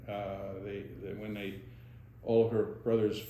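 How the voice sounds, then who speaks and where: Speaking at a fairly slow pace, a man uses a fairly low pitch with a dark, mellow tone and vocal fry. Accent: American. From Monroe County, Pennsylvania. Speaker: retired dentist. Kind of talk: oral history interview answer.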